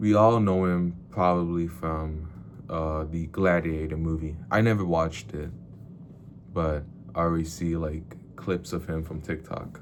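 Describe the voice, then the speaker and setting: Audible room echo surrounds a man with a very deep, low pitch. He speaks at a fairly slow pace with fairly even intonation. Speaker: book reviewer / vlogger. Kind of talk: casual video monologue. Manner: halting, repeats words.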